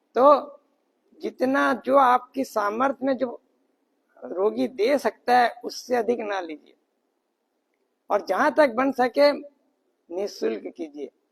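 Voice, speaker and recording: An extremely high-pitched man with lively intonation and long, frequent pauses, in a dry, close sound with no echo. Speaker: spiritual teacher. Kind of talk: speech at training camp. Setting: training camp. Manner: soft-spoken. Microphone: no mic, power outage.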